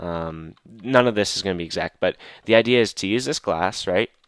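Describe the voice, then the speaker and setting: The recording is very clean, with a silent background. A man's voice sounds dry and close, without echo. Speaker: gaming video creator. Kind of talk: let's play commentary. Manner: halting, many fillers and repeats.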